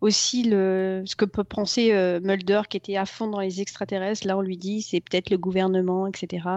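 The woman talks in a monotone, flat way at a middle pitch. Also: moderate pace. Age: 40s. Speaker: TV series superfan. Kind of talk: casual interview. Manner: halting.

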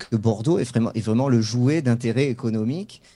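The man has a medium-pitched voice with a dark, mellow tone. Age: 40s. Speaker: football club website editor and supporter. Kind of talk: interview.

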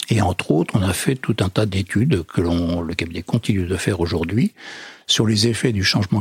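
Very deep and low, a man's somewhat breathy voice moves at a moderate pace with ordinary pitch variation. The sound is dry and close, with no echo. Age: 60s. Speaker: federation president, social enterprise leader. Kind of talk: interview. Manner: hesitant, many fillers.

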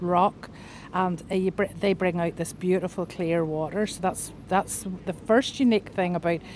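A woman's medium-pitched voice at a moderate pace, with fairly even intonation and a Northern Irish accent. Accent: Northern Irish, lilting. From Northern Ireland. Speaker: podcast guest, chef. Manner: chatty, laughs often.

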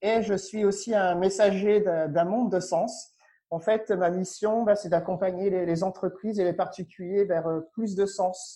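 Against a quiet background, a man speaks at a fairly slow pace in a high voice. His tone is dark and mellow, and his intonation is monotone and flat. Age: 30s. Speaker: spiritual coach and former finance executive. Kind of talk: casual interview. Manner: halting, with repetitions.

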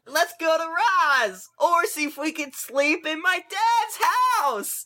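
In a put-on character voice, the speaker goes at a fairly slow pace with an extremely high pitch.

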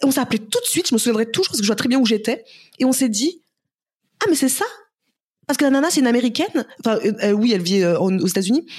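A woman's high-pitched, very fast speech at very even loudness, broken by long, frequent pauses. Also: lively intonation. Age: 30s. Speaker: entrepreneur and influencer. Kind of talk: casual interview.

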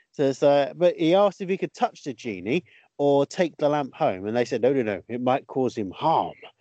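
With a British accent, a man speaks at a moderate pace in a fairly high voice full of lively intonation. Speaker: podcast host and comedian. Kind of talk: casual comedy chat.

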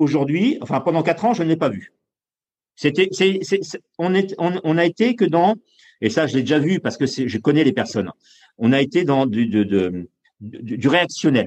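A fairly high-pitched man speaks at a moderate pace with vocal fry. His pitch swings very widely, and he leaves long, frequent pauses. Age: 50s. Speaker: Olympic canoe medalist and coach. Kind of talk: interview. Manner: halting, with many repetitions and fillers.

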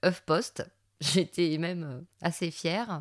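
The recording is spotless, with total silence behind the voice. She talks very slowly. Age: 40s. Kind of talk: casual monologue. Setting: home recording in son's music room. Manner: hesitant, with filler words.

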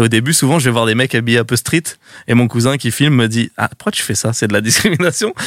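Talking at a very fast pace, a man is heard in a dry, close recording with no echo, very clean and with a silent background. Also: medium pitch for a man, ordinary pitch variation. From Seine-Saint-Denis, Paris suburbs, France. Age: 20s. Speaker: online video creator. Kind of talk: casual chat.

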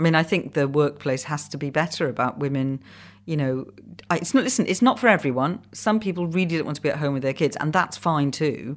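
On a very clean recording with a silent background, a woman with a Welsh accent speaks very fast at a very deep, low pitch with lively intonation. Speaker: comedy commissioning editor and producer. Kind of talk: podcast interview.

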